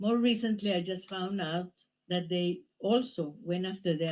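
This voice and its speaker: A woman speaks with a Spanish accent at a fairly low pitch. Her pace is moderate. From Nicaragua. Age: 70s. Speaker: exiled writer. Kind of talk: public talk.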